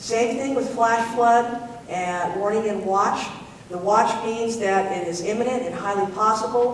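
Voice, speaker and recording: At a fairly slow pace, a woman speaks with fairly even intonation and a fairly high pitch, heard through audible room echo and noticeable background noise. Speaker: public safety presenter. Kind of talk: public presentation. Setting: town hall meeting. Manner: hesitant, many fillers.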